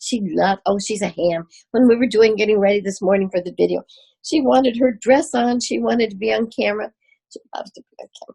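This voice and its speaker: A woman speaks very fast at a fairly high pitch, her tone dark and mellow and somewhat breathy. Her loudness swings widely while her pitch varies in an ordinary way, all in a dry, close sound with no echo. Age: 80s+. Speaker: doctor with ALS. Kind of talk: Q&A interview.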